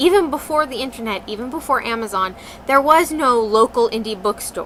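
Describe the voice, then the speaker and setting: Over noticeable background noise, a woman projects a raised, whiny, nasal voice at a high pitch with lively intonation. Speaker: vlogger. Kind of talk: casual talk to camera.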